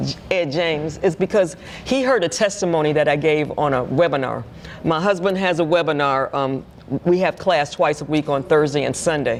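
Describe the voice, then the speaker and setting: Very deep, low pitch from a woman, with ordinary pitch variation, a moderate pace and noticeable background noise. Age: 70s. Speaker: ministry leader. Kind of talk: interview.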